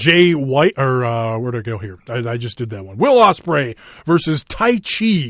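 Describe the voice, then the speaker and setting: A man's medium-pitched voice with a Minnesotan accent and lively intonation on a very clean recording with a silent background. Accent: Minnesota. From Minnesota, US. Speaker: wrestling podcast host. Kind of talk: casual chat. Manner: halting, many fillers.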